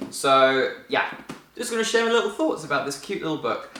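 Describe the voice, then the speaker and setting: Very fast and with very wide pitch swings, a man speaks in a New Zealand accent. Audible room echo and noticeable background noise fill the recording. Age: 20s. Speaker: vlogger. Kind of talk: casual book review vlog.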